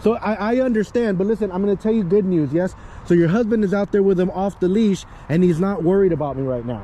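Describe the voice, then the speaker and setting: A man talks loudly at a very fast pace in a high pitch. His tone is animated and his pitch varies in an ordinary way. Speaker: dog trainer. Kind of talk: casual chat.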